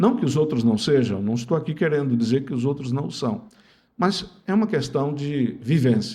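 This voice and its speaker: The intonation is lively, with a dark, mellow tone and a somewhat breathy quality. The pace is moderate. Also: man, fairly high pitch for a man. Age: 70s. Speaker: lawyer and former politician. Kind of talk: interview.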